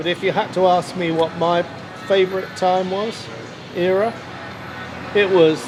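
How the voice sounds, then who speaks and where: Over noticeable background noise, a man with a high pitch speaks at a fairly slow pace with an English accent. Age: 70s. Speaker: vlogger. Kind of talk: casual monologue vlog. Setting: sitting at a bar. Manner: hesitant, many fillers.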